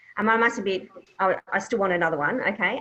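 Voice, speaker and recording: A woman with an Australian accent, medium in pitch, bright and sharp in tone, at a fairly quick pace with ordinary pitch variation. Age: 60s. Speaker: property investment specialist. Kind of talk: Q&A at online business meeting. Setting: online video meeting.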